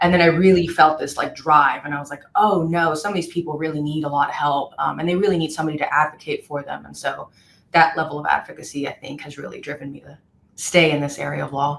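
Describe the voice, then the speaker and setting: Words rush out at a very fast pace in a monotone, flat intonation, with big swings in loudness. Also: woman, very deep, low pitch for a woman. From El Paso, Texas (Mexican-American border town). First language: Spanish. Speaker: personal injury attorney. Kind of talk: podcast interview.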